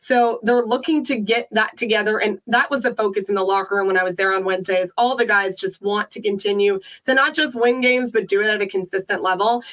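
A woman's very fast speech with ordinary pitch variation. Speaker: sports panelist. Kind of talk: casual sports talk.

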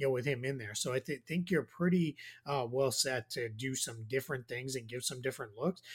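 In a Boston accent, the speaker sounds somewhat breathy, moving at a fairly quick pace with ordinary pitch variation. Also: man. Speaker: basketball analyst. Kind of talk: casual chat.

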